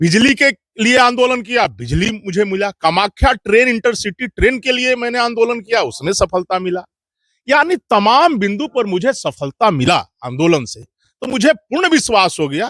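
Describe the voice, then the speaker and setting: A man speaks in a high pitch with a bright, sharp, animated tone. His intonation is lively, and the sound is dry and close with no echo. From Bihar, India. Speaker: local activist. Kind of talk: interview.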